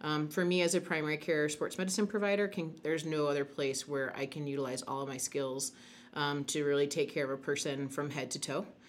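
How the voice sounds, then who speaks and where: Speaking at a fairly quick pace with an American accent, a woman uses a very deep, low voice and fairly even intonation. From Chicago, US Midwest. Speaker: sports medicine physician. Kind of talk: panel discussion.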